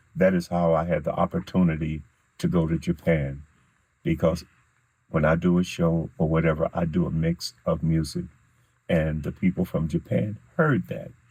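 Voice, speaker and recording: A man with an American accent speaks in a very deep, low voice with a dark, mellow tone and monotone, flat intonation. His pace is moderate, broken by long, frequent pauses. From Kansas City, Kansas. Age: 70s. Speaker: musician, war veteran. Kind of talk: casual interview. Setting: studio.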